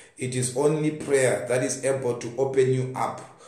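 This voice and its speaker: Audible room echo around a man's fairly slow pace. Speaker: preacher. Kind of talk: sermon. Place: home room. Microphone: phone near.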